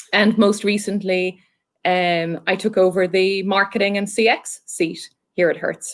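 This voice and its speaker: In an Irish accent, a woman talks at a moderate pace and medium pitch, her intonation monotone and flat. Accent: Irish, still fairly decent. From Ireland. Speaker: marketing executive. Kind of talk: interview.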